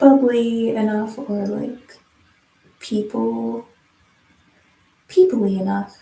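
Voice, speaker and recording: A soft-spoken woman talks at a very slow pace in a calm tone. She leaves long, frequent pauses. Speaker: livestreamer doing hair. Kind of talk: casual livestream chat. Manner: calm, low-key.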